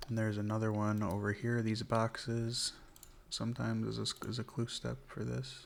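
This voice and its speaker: A man speaks at a moderate pace. His tone is relaxed. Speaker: ASMR gaming content creator. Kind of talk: ASMR gameplay commentary, soft spoken. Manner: soft-spoken, relaxed.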